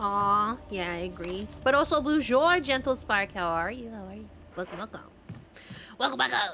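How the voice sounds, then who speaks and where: A woman at a medium pitch talks at a moderate pace with very wide pitch swings, big swings in loudness, long and frequent pauses, and vocal fry. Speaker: vtuber streamer. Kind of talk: casual gaming livestream chat. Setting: livestream.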